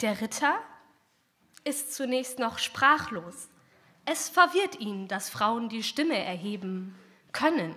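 At a very slow pace, a woman uses a fairly high voice with very wide pitch swings and a playful, theatrical tone, leaving long, frequent pauses. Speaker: poetry slammer. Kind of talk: poetry slam performance, rhymed fairy-tale satire read from text. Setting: stage with audience. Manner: playful and ironic, mock-storyteller tone with theatrical voices for king and princess; brisk, punchy delivery with comic timing and a defiant finish. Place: hall. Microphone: handheld.

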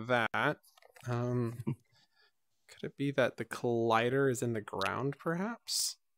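A man's voice comes through with a clear, smooth tone that is fairly bright.

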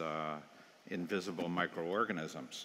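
There is light background noise behind a man's voice. His very deep, low pitch carries a bright, sharp tone. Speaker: public health founder of violence prevention group. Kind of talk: panel discussion. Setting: stage with audience. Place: stage. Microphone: headset.

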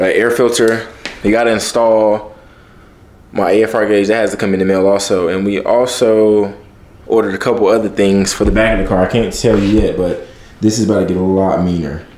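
Fairly low-pitched and quick, a man speaks with fairly even intonation and very even loudness, with audible room echo around him. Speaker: car vlogger. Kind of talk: casual vlog chat. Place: garage. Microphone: phone near.

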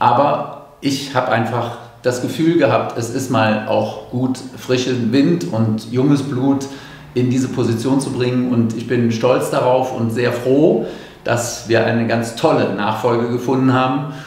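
A man speaks at a fairly slow pace with fairly even intonation, and audible echo fills the room. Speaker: longtime arena announcer for a volleyball team, handing over the job. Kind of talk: farewell announcement to fans, talking to camera. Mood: proud, slightly wistful. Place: empty room. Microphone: handheld.

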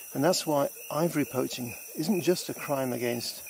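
Speech comes at a fairly quick pace, with dry sound free of echo but noticeable background noise. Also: man. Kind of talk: explanatory nature talk to camera. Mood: earnest, passionate about conservation. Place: forest. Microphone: phone near.

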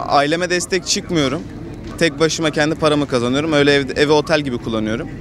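Very fast speech with ordinary pitch variation sounds dry with no echo, over noticeable background noise. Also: man. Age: young. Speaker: passer-by interviewee. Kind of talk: street interview. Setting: outdoors. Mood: frustrated, resigned. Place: street.

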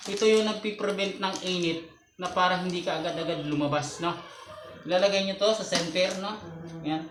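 Over noticeable background noise, a man speaks at a fairly quick pace in a high pitch with fairly even intonation. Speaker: home-business siomai seller and video creator. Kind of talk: street-food vendor's how-to demo, pitching a siomai cart setup to viewers step by step.

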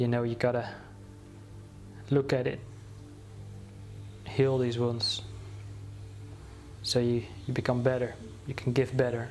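Over music in the background, a man with a medium pitch and a calm tone talks at a fairly slow pace in a monotone, flat intonation, with long, frequent pauses. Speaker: guided meditation teacher. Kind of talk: guided meditation. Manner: slow, calm, with long pauses. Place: home room.

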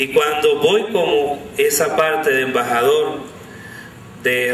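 A man with a fairly high pitch, a fairly bright tone and ordinary pitch variation, in audible room echo.

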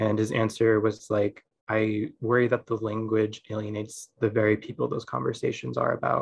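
Speaking at a moderate pace with hardly any pauses, a man uses a fairly low, somewhat breathy voice and fairly even intonation over light background noise. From USA. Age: 20s. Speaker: photographer. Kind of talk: lecture. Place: home room. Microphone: video call.

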